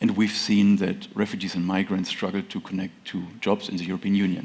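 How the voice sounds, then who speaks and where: In a German accent, a man talks at a fairly quick pace. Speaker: tech startup founder. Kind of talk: conference presentation.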